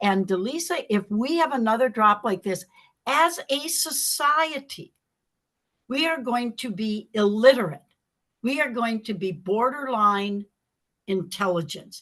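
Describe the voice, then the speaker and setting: A woman with an American accent talks at a fairly high pitch and a fairly slow pace. Her tone is animated, with very wide pitch swings. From US Midwest, Wisconsin. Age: 80s. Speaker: motivational speaker. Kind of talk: interview chat.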